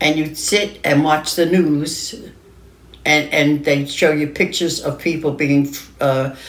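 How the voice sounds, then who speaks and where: In a New York accent, a woman speaks with a very deep, low pitch, a fairly slow pace and fairly even intonation. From New York City, Lower Manhattan. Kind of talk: interview answer. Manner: hesitant, halting.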